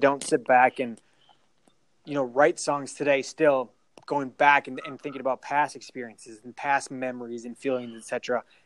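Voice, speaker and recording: Speaking at a fairly quick pace, a man with an American accent has a medium pitch. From Minnesota. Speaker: podcast co-host. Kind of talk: casual chat. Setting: phone call. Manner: animated.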